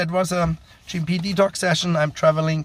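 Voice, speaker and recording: A somewhat breathy man with a German accent. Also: very clean recording, silent background. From Germany. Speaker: GMP quality consultant. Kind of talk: educational monologue. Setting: while traveling. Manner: hesitant, many fillers.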